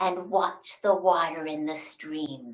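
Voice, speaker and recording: A woman speaks in a put-on character voice. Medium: read story. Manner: snarling, commanding.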